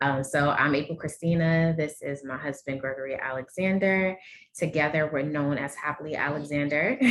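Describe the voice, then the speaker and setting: This voice has a New Orleans accent and fairly even intonation at a moderate pace. Noticeable background noise runs underneath. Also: woman, very deep, low pitch for a woman. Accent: heavy New Orleans. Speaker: endometriosis advocate and guest. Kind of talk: panel discussion introduction.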